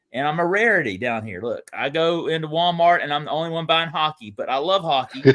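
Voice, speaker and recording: With a Southern US accent, a man talks at a very fast pace with hardly any pauses, a fairly high pitch and ordinary pitch variation. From US South, Atlanta area (Gwinnett County, Georgia). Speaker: sports card collector and YouTuber, show guest. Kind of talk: casual chat. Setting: live video stream. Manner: animated.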